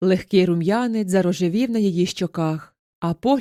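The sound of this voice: Against a quiet background, the speaker reads in an unforced reading voice with ordinary pitch variation.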